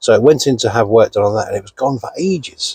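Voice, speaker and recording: The recording of a man with a British accent has a dry, close sound with no echo. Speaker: car reviewer vlogger. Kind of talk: casual vlog review. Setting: inside a parked car. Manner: loud.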